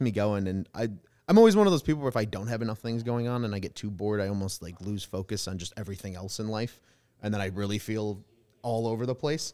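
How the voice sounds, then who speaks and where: At a very fast pace, a man with an American accent speaks at a fairly low pitch with ordinary pitch variation. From Chicago South Side. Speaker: sports podcaster. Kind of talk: casual sports podcast chat. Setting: studio.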